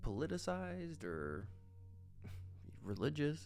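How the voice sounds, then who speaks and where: With music in the background, a man with a very deep, low pitch speaks in a relaxed tone with ordinary pitch variation. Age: 20s. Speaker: artist. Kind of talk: casual commentary while drawing. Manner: relaxed, informal.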